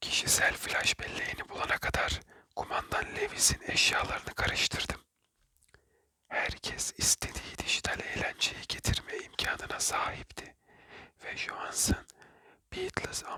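A fairly slow-paced whisper. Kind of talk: whispered ASMR book reading for sleep. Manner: whispered, soft, calming.

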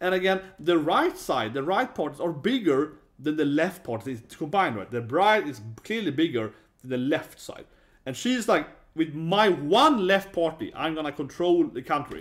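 Music plays in the background as the speaker talks in a Swedish accent with lively intonation. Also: man, fairly high pitch for a man, moderate pace. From Sweden. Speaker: YouTuber, user researcher. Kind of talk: casual video commentary. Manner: halting, many fillers. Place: home room.

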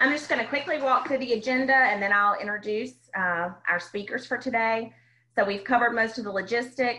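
The tone is bright and sharp, delivered at a fairly quick pace with ordinary pitch variation. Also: woman, fairly high pitch for a woman. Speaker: nonprofit staff and webinar moderator. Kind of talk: webinar moderation. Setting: online webinar. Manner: frequent filler words. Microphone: video call.

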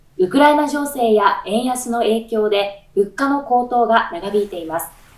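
A woman with a fairly high pitch and ordinary pitch variation speaks with audible room echo. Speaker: announcer. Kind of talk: news show host read. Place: studio.

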